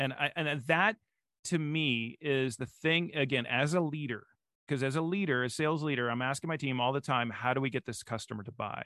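A man with a fairly high pitch and ordinary pitch variation is heard in a dry, close sound with no echo. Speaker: podcast guest, sales expert. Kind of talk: casual, energetic conversational. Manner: fast talker.

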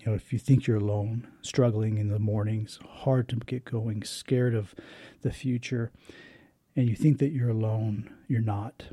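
A man speaks at a medium pitch in a somewhat breathy voice with a dark, mellow tone. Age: 40s. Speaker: podcast host and poet. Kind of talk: solo personal reflection monologue. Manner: halting, many fillers and restarts.

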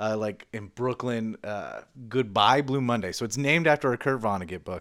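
At a moderate pace, a man talks in an ordinary speaking voice, medium in pitch with ordinary pitch variation. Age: 30s. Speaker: podcast co-host. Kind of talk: casual chat; scripted narration.

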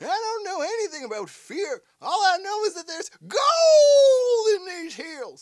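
Using a put-on character voice, a man speaks at a moderate pace at an extremely high pitch. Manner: gruff.

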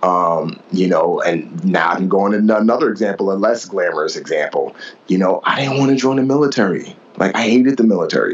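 With an American accent, a man talks fairly quickly while noticeable background noise carries on. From New York City, the Bronx. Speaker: author and former Navy SEAL. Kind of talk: interview.

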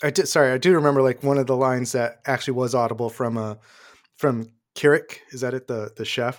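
A man with an American accent at a very fast pace, his intonation fairly even. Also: medium pitch for a man, very clean recording, silent background. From Hartford, Connecticut, US. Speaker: multimedia producer and podcaster. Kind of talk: casual chat.

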